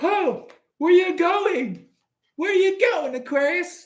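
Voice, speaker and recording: Put-on character voice delivered at an extremely high pitch and a very slow pace. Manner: mocking, teasing.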